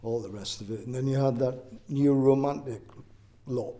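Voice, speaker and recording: Somewhat breathy, a man with a medium pitch and a dark, mellow tone speaks with fairly even intonation amid audible room echo. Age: 60s. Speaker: oral history interviewee. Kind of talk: interview. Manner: hesitant, with fillers.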